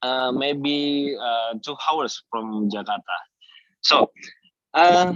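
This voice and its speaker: Heard dry and close with no echo, a man with an Indonesian accent speaks very slowly in a fairly high voice, with ordinary pitch variation and long, frequent pauses. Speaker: dairy farmer. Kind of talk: webinar presentation. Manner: halting.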